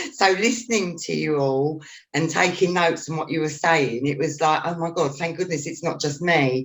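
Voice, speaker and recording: The speaker talks at a moderate pace with a London accent. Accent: regional London. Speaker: school mediation trainer. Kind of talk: panel discussion.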